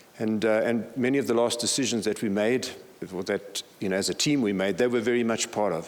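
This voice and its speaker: A man talks at a fairly quick pace with medium pitch and ordinary pitch variation. Noticeable background noise sits behind him. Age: 60s. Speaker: senior pastor. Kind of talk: conference talk.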